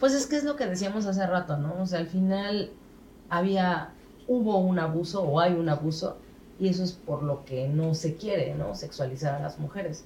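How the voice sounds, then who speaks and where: This woman has a fairly low pitch and a dark, mellow tone that is somewhat breathy. She talks at a moderate pace with lively intonation. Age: 40s. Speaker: podcast guest. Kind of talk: casual chat.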